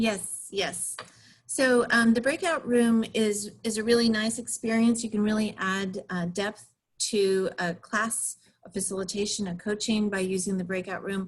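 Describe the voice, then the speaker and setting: Her voice somewhat breathy, a woman speaks fairly slowly at a fairly high pitch with fairly even intonation. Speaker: facilitation trainer. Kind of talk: webinar presentation.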